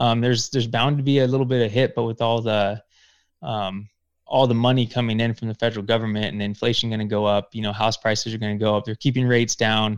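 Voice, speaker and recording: Speaking very fast in an American accent, a man holds a medium pitch and monotone, flat intonation, recorded dry and close with no echo. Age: 30s. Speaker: real estate investor. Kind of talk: interview podcast. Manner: halting.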